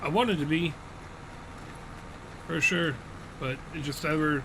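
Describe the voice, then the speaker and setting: Pitched fairly high, a man talks at a moderate pace with ordinary pitch variation and long, frequent pauses. The recording has noticeable background noise and audible room echo. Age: 40s. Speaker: gaming streamer. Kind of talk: live gameplay stream chat. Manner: casual, conversational.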